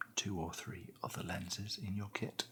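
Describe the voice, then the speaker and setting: A man is whispering. He has a British accent. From England. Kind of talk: ASMR product unboxing and review. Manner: soft-spoken.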